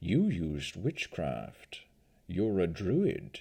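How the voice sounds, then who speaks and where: In a put-on character voice, the speaker growls out guttural words at a very slow pace with very wide pitch swings. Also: man, very deep, low pitch for a man. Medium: read story. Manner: grave, heavy.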